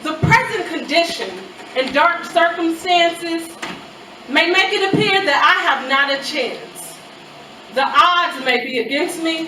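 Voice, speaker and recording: A woman's extremely high, raised, projected voice carries at a fairly slow pace with ordinary pitch variation, amid audible room echo and noticeable background noise. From US Midwest, Chicago. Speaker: spoken word poet. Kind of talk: spoken word poetry performance.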